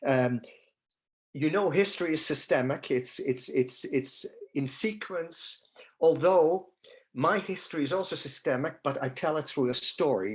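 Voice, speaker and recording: The speaker, with a Dutch accent, talks at a fairly slow pace with lively intonation. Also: man, fairly high pitch for a man. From Netherlands. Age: 70s. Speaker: holocaust survivor speaker. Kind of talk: testimony. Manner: halting.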